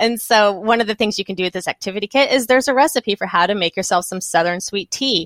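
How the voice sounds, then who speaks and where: With a Texan accent, a woman talks very fast at a medium pitch with ordinary pitch variation and hardly any pauses, in a very clean recording with a silent background and a dry, close sound with no echo. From Texas. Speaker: children's author. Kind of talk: interview. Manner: halting.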